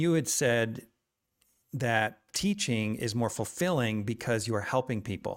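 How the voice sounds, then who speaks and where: A man speaks with an unremarkable speaking voice at a medium pitch, his intonation lively. The recording is very clean, with a silent background. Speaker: podcast host. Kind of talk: interview.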